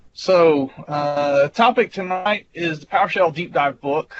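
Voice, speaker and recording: A man with a Southern US accent speaks at a fairly high pitch with ordinary pitch variation. Noticeable background noise can be heard. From US South. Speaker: IT engineer and presenter. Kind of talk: technical presentation. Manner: casual, with fillers.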